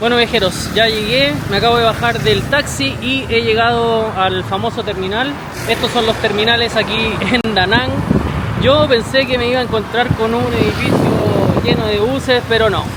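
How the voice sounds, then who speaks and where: A high-pitched man at a moderate pace with fairly even intonation, plus noticeable background noise and audible room echo. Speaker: travel vlogger. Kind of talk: travel vlog narration.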